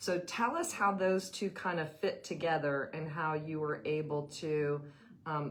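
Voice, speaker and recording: In a room with audible echo, a woman talks at a very deep, low pitch with fairly even intonation. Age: 50s. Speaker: retired teacher, show host. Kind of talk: interview.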